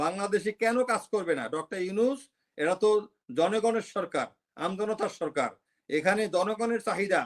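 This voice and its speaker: This man has a high-pitched voice. His pitch moves up and down in an ordinary way. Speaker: retired army officer and political commentator. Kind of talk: political commentary interview.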